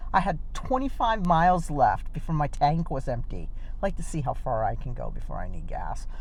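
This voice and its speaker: With an American accent, a woman talks fairly quickly in very wide pitch swings, with audible room echo. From Oklahoma, Lawton. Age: 60s. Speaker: vlogger. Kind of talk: casual vlog chat. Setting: in a car. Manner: animated.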